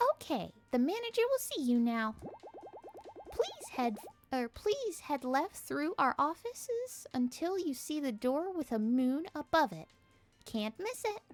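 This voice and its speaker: A woman's put-on character voice, high and fairly slow, with very wide pitch swings over sound effects in the background. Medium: game stream. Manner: cheerful, polite customer-service tone.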